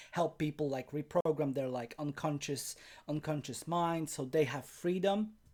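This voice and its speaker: A man speaks with a Polish accent. His pitch sits fairly high. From Poland. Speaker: life coach. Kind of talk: webinar presentation. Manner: halting, with self-corrections.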